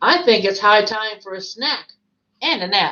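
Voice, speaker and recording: A woman does a put-on character voice. Her pitch sits in the medium range. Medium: read story. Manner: refined, self-satisfied.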